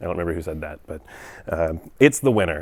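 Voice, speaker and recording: Very deep and low in pitch, a man's voice comes through on a very clean recording with a silent background. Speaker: software engineer giving a conference talk. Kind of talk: technical presentation at a meetup. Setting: meetup talk with live audience. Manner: fast.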